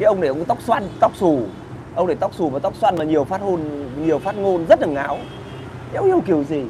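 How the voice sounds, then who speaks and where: A high-pitched man's animated voice at a fairly quick pace, with ordinary pitch variation and noticeable background noise. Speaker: online video host. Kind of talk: casual chat, live stream with viewers. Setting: live stream. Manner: animated, colloquial, crude. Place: cafe. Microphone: lapel.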